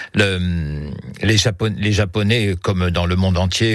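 A man speaks at a very slow pace in a very deep, low voice with fairly even intonation. Noticeable background noise runs under the recording. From southern France, Hérault. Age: 70s. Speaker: retired academic and Japanese archery practitioner. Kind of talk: radio interview.

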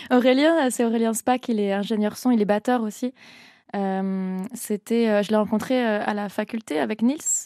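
A woman with a fairly high, dark, mellow voice speaks at a fairly slow pace with ordinary pitch variation. The sound is dry and close with no echo, over a quiet background. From France, Annecy (Haute-Savoie). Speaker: singer. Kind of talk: radio interview. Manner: hesitant, many fillers.

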